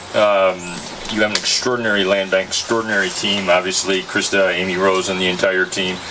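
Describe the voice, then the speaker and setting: Noticeable background noise surrounds a man with a very deep, low pitch. He talks at a fairly quick pace in a monotone, flat intonation. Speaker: state agency director. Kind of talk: public speech at ceremony. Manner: loud.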